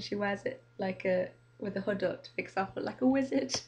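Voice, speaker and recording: A woman with an English accent at a moderate pace. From Manchester, England. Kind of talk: casual talk to camera.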